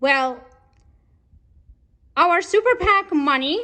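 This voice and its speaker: An extremely high-pitched woman uses a raised, projected voice with a bright, sharp tone. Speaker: political candidate. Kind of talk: political commentary vlog.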